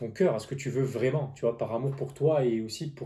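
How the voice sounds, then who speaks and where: His voice has a dark, mellow tone and is somewhat breathy, sitting at a medium pitch for a man with fairly even intonation. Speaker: tarot reader and business coach. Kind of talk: tarot reading monologue. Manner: halting.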